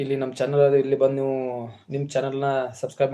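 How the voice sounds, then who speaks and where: The speaker is a man. His pitch is medium. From north Karnataka, Bailhongal taluk village. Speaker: farmer and YouTube live streamer. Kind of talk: casual livestream chat and house tour. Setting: village farmhouse during livestream.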